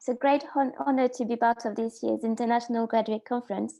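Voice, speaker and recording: A woman's dark, mellow tone with fairly even intonation. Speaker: graduate student researcher. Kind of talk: conference presentation. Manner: halting.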